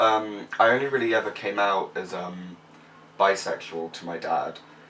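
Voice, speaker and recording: Noticeable background noise sits behind a man whose fairly low voice moves at a moderate pace with fairly even intonation. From Somerset, south-west England. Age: young. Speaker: university student. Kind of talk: casual chat.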